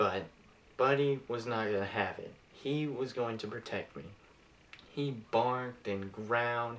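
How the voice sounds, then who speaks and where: A man with a normal speaking voice talks at medium pitch and a fairly slow pace, with ordinary pitch variation. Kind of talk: eulogy speech delivered to an audience. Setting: public speaking, delivered to a room of attendees.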